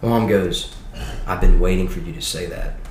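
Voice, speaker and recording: Spoken at a moderate pace with a Louisiana accent, the clip has noticeable background noise and audible room echo. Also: man. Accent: US Southern, Louisiana. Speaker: college student. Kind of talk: testimony.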